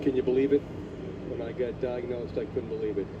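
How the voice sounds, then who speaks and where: Over noticeable background noise, a man with a Boston accent talks at a fairly quick pace and a medium pitch. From Boston, Massachusetts (South Boston). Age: 60s. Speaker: cancer survivor and marathon runner. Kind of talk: broadcast interview.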